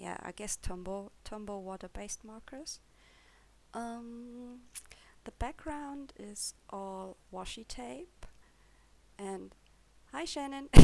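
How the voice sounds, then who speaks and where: A woman with a German accent and medium pitch speaks very slowly, with long, frequent pauses. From Germany. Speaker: coloring hobbyist YouTuber. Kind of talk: casual show-and-tell video. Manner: hesitant, with fillers.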